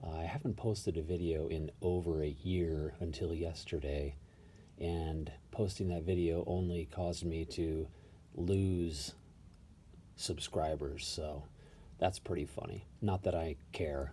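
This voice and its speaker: A man speaks quietly in a very deep, low pitch with a dark, mellow tone and a somewhat breathy quality. His pace is fairly slow and his intonation fairly even. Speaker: record collector vlogger. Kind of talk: casual show-and-tell monologue. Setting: at home, early morning. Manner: quiet, kept low.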